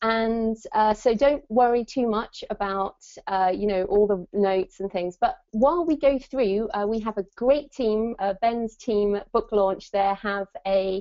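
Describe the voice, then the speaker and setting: A woman talks fairly slowly in a plain, everyday voice. Her pitch is fairly high, with ordinary pitch variation. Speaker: author and webinar host. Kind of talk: webinar presentation. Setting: online webinar.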